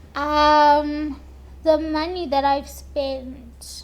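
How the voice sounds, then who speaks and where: Noticeable background noise and audible room echo surround the recording. A woman speaks with a high pitch. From South Africa, Polokwane. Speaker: lupus patient interviewee. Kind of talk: interview.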